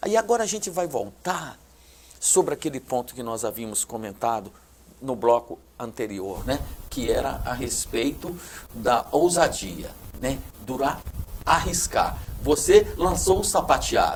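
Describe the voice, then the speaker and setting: A man talks at a medium pitch with very wide pitch swings. His pace is fairly slow, broken by long, frequent pauses. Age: 60s. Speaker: TV show host. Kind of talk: TV interview.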